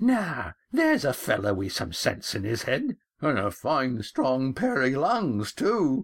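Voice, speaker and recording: A man puts on a creaky character voice pitched fairly high. He talks at a fairly slow pace. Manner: approving, admiring.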